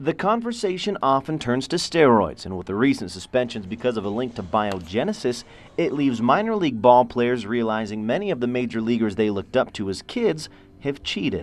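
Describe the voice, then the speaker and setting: A man talks at a moderate pace with a medium pitch and very wide pitch swings. Noticeable background noise runs under the recording. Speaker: sports anchor and reporter. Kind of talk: TV sports news anchor/reporter delivery.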